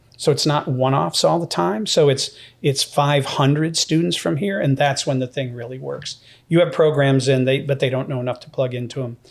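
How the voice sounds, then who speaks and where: Over a silent background in a very clean recording, a man with an American accent and a plain, everyday voice speaks fairly quickly at a fairly high pitch with ordinary pitch variation. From upstate New York (Syracuse). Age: 60s. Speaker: university president. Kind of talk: podcast interview.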